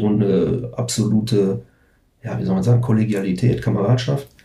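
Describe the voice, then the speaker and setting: A man talks at a fairly quick pace with fairly even intonation. His tone is dark and mellow and somewhat breathy. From Ruhr area, Germany (Recklinghausen). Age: 40s. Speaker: punk/metal band musician. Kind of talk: casual chat.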